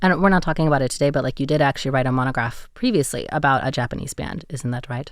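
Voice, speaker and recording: In an American accent, a woman with a very deep, low pitch talks at a very fast pace. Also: ordinary pitch variation, hardly any pauses, very clean recording, silent background. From USA. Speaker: radio host. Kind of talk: interview. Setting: studio.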